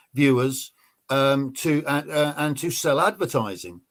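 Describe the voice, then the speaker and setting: Heard on a very clean recording with a silent background, a man with an English accent speaks at a moderate pace in a fairly high voice. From England. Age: 60s. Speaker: ex-special forces soldier. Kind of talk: interview.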